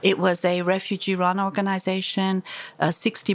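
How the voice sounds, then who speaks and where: At a moderate pace, a woman speaks at a medium pitch with monotone, flat intonation. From Iran. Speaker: human rights activist. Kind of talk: interview. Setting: office. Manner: forceful.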